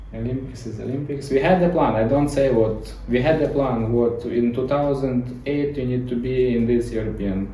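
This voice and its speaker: With noticeable background noise behind him, a man with a Ukrainian accent speaks at a moderate pace and medium pitch, his intonation fairly even and hardly any pauses. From Ukraine. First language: Ukrainian or Russian. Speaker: gymnastics coach. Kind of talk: interview. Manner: halting.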